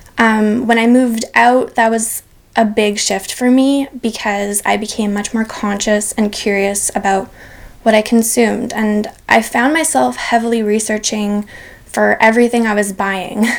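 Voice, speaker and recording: The woman's voice is fairly high and her intonation fairly even. She speaks at a fairly slow pace over noticeable background noise. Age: 20s. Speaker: sustainability blogger and climate advocate. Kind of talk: interview. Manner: hesitant, many fillers.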